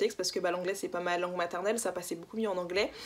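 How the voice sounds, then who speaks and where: This woman's voice shows ordinary pitch variation. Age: 20s. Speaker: book YouTuber. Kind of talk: casual vlog monologue. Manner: animated.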